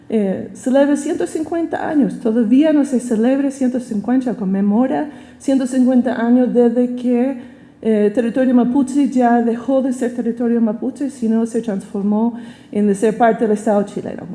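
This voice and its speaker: With an American accent, a woman talks at a high pitch and a moderate pace, using ordinary pitch variation. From United States. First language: English (speaking Spanish). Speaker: professor. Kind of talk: lecture. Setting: auditorium.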